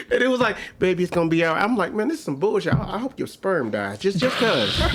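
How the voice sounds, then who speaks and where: Over noticeable background noise, a man talks very fast at a high pitch with lively intonation. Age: 40s. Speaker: comedian. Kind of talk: casual chat.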